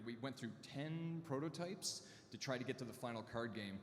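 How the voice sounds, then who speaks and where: Someone speaks at a moderate pace with a Canadian accent. Noticeable background noise and audible room echo come through. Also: man. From Canada. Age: 40s. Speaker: artist and co-founder. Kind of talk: conference talk.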